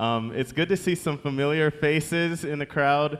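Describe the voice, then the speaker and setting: This man has an ordinary speaking voice and a moderate pace. His pitch varies in an ordinary way. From Michigan, US. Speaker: seminary student. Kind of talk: church address. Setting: church.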